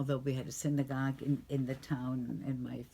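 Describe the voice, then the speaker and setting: This woman's voice is very deep and low, with a dark, mellow tone. She is somewhat breathy and keeps a moderate pace. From Germany. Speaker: Holocaust survivor. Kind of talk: interview testimony.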